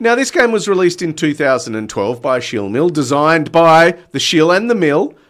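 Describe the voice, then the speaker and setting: This man has an unremarkable speaking voice. He keeps a moderate pace with lively intonation. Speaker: radio host. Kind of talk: radio dj patter. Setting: radio studio. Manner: punchy, upbeat, teasing radio-announcer tone.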